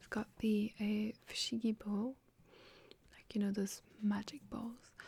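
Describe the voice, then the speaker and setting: Soft-spoken and somewhat breathy, a woman speaks at a fairly slow pace with a medium pitch and monotone, flat intonation. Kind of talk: ASMR roleplay job interview. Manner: soft-spoken, slow.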